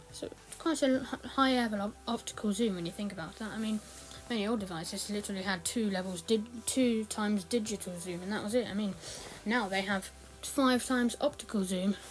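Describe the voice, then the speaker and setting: Over noticeable background noise, the voice moves at a fairly quick pace with ordinary pitch variation. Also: woman, medium pitch for a woman. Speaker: tech youtuber. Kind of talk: product review walkthrough. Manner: hesitant with fillers.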